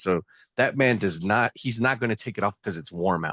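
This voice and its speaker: A man with an American accent talks fairly quickly in a fairly low pitch and animated tone, his ordinary pitch variation captured in a dry, close sound with no echo. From US South. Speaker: pop culture reviewer. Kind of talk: casual chat.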